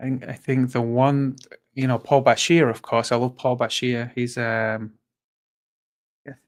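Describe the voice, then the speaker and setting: A man speaks at a fairly slow pace in a monotone, flat intonation, leaving long, frequent pauses. The recording is very clean, with a silent background. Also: medium pitch for a man. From northern England, Fleetwood near Blackpool. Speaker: animal rights activist. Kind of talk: casual chat. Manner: halting.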